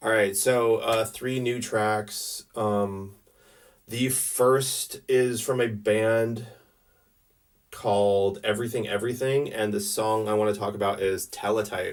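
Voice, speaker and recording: Quiet and very slow, a man speaks at a medium pitch in a monotone, flat intonation. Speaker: music video blogger. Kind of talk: casual music review monologue. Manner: halting, many fillers and restarts; self-described quiet and reserved.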